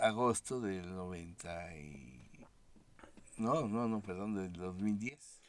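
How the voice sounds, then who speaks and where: A man talks at a very slow pace. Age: 60s. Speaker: founder of an institution for the blind. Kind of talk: interview. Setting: studio.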